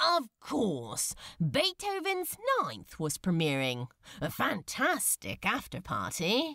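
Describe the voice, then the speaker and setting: The speaker uses a put-on character voice at a fairly high pitch. The delivery is very slow. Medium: read story. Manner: breezy, sarcastic.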